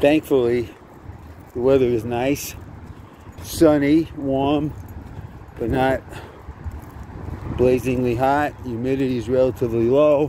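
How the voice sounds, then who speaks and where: Long, frequent pauses mark this dry, echo-free recording with light background noise. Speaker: walking tour narrator. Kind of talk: casual walking commentary. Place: street. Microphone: phone near.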